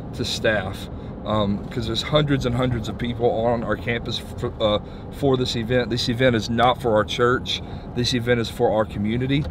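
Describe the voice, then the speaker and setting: Over noticeable background noise, a man talks with fairly even intonation in a dry sound with no echo. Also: moderate pace. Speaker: church leader vlogger. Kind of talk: casual vlog chat. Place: car.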